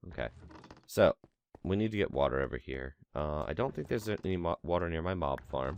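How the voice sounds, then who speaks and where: A man with very deep, low pitch and vocal fry speaks at a fairly quick pace in a relaxed tone with lively intonation. The sound is dry and close, with no echo. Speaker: gaming commentator. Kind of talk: casual let's play commentary.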